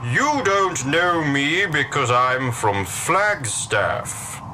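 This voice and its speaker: A man's put-on character voice, fairly high-pitched and very slow, over clear background noise. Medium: audio drama.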